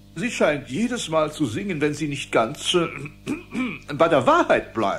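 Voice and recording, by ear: Over faint music in the background, a man in a cartoonish character voice talks at a fairly slow pace with a fairly high pitch, a fairly bright tone and very wide pitch swings.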